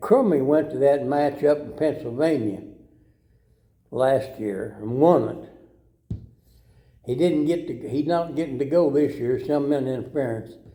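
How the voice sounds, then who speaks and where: With a dark, mellow tone, this man talks at a fairly high pitch and a fairly slow pace, using ordinary pitch variation amid audible room echo. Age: 80s+. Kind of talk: casual interview.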